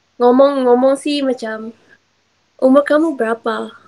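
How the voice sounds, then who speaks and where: With a Johor accent, a woman speaks at a high pitch with ordinary pitch variation. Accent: Johor Malay. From Johor, Malaysia.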